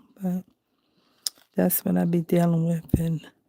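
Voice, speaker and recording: A woman whispers. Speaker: crafting livestreamer. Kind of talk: casual livestream chat while coloring. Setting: home, at night. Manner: soft-spoken.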